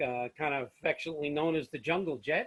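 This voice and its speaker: Speaking at a fairly quick pace with an American accent, a man uses a fairly high pitch and ordinary pitch variation. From New York. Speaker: airline pilot. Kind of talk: lecture. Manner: fast; casual, filler-heavy.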